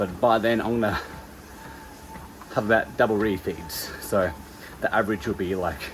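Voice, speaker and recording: Background noise is noticeable here. The speaker is a man. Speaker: personal trainer and bodybuilding competitor. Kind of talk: vlog talking to camera. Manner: hushed, quiet.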